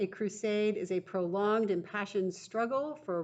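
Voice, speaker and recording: At a fairly slow pace, an ordinary speaking voice carries ordinary pitch variation. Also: woman. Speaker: teacher. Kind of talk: recorded vocabulary lesson for students.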